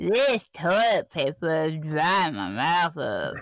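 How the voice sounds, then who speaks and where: In a put-on character voice, the speaker holds a middle pitch and a fairly slow pace. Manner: cartoon character voice.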